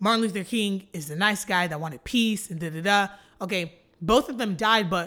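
Using an American accent, a woman speaks at a fairly quick pace with a bright, sharp tone, medium pitch and ordinary pitch variation, in a very clean recording with a silent background. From Texas (Flower Mound, near Dallas). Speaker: social media personality. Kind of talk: casual interview. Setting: studio.

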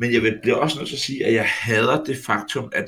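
The man talks at a fairly quick pace. Background music plays under him. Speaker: football podcast co-host. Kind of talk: casual chat.

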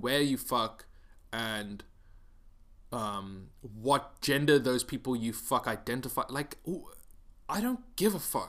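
The speech goes at a very slow pace on a very clean recording with a silent background. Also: man. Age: 20s. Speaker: podcast host. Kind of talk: solo monologue, casual rant. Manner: halting, many fillers and repetitions; miserable cadence.

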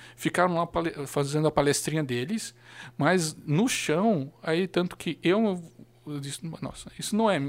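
In a normal speaking voice, a man talks at a fairly slow pace with a fairly high pitch and ordinary pitch variation, on a very clean recording with a silent background. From Blumenau, Santa Catarina, southern Brazil. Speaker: local history social media page curator. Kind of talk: casual chat.

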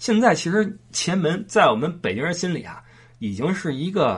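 Speaking in a Beijing accent, a man uses a high pitch with very wide pitch swings at a moderate pace. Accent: Beijing Mandarin with erhua. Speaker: podcast host. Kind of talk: casual monologue.

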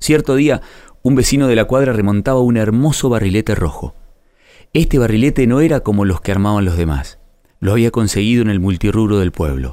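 On a very clean recording with a silent background, a man with a fairly low pitch and a dark, mellow tone talks at a fairly quick pace with lively intonation and very even loudness. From Argentina (Río Negro, Patagonia). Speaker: writer narrating a personal story. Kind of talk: scripted narration.

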